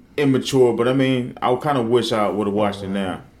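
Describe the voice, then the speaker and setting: Very fast speech from a man, with ordinary pitch variation and audible room echo. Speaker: podcast co-host. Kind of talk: casual chat. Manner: loud.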